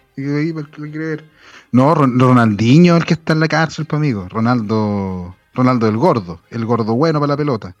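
Using lively intonation, a man with a Chilean accent talks at a moderate pace and medium pitch. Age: 30s. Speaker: podcast host. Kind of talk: casual chat.

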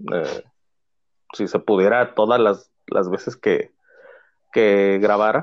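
Speaking with a Mexican accent, a man talks at a medium pitch and a very slow pace with long, frequent pauses. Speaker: teacher starting a podcast. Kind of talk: casual chat.

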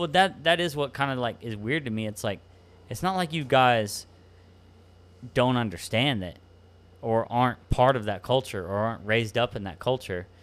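On a very clean recording with a silent background, a man with a Texan accent speaks at a moderate pace and a medium pitch, with lively intonation. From Texas Hill Country. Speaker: podcast host.

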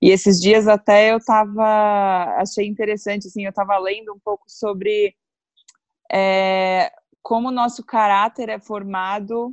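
A woman talks in a plain, everyday voice at a fairly slow pace, her intonation fairly even and the sound dry and close with no echo. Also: medium pitch for a woman. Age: 30s. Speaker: guest on astrology podcast. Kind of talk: casual chat.

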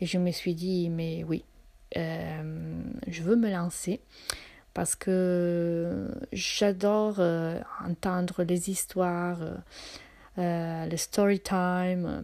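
Using a non-native accent, a woman speaks in a monotone, flat intonation. Her pace is very slow, with long, frequent pauses. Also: fairly low pitch for a woman. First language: not French (speaking French). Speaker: podcaster. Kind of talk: personal storytelling monologue. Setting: at home in her apartment. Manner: hesitant, many fillers and repetitions.

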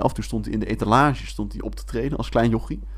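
A man speaks at a very fast pace. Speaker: podcast co-host. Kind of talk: casual chat.

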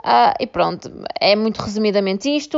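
A woman speaks with a European Portuguese accent and lively intonation. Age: 20s. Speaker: podcast host, law graduate. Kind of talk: casual monologue. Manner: hesitant, many fillers.

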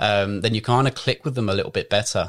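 A man with a normal speaking voice at fairly low pitch, fairly even intonation, and a very clean recording over a silent background. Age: 20s. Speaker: fitness coach. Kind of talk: casual chat.

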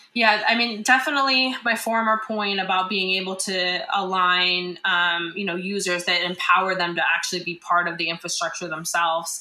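A woman with an American accent speaks at a moderate pace and a medium pitch, with ordinary pitch variation and hardly any pauses. Noticeable background noise and audible room echo are present. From rural US. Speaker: tech startup founder. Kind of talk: interview.

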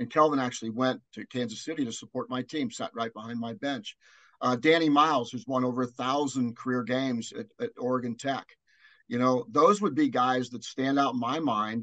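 A man with an American accent talks fairly quickly at a medium pitch with ordinary pitch variation, a plain, everyday voice. The sound is dry and close with no echo. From Cincinnati area, US Midwest (born Newport, Kentucky). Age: 60s. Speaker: college basketball analyst and former coach. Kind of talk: interview.

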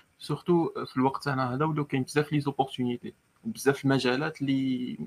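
A man with an unremarkable speaking voice talks at medium pitch and a moderate pace, with ordinary pitch variation. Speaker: student podcast host. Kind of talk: interview. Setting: live online session.

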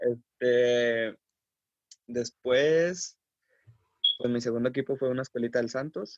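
Very slow, fairly even-toned speech from a man at medium pitch, with long, frequent pauses and a dry, close sound with no echo. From Mexico, Coahuila. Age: 20s. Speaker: professional footballer. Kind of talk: interview.

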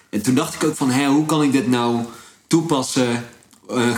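Noticeable background noise and audible room echo accompany the man as he speaks. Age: 20s. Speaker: entrepreneur. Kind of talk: casual chat.

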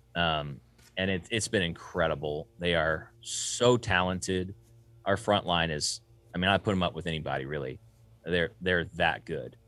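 The voice has a bright, sharp tone and a Southern US accent, with ordinary pitch variation at a moderate pace. The recording is very clean, with a silent background. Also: man, very deep, low pitch for a man. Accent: Southern US (Georgia). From US South. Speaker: sound engineer and studio owner. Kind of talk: casual interview.

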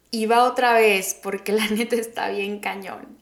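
A woman speaks with a Mexican accent. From Mexico, Oaxaca. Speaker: podcast host. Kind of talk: casual monologue.

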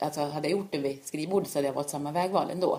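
Someone talks at a very fast pace with fairly even intonation over noticeable background noise. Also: woman. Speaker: orienteering coach and former world champion. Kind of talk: casual interview. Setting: at home. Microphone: far from the mic, too quiet.

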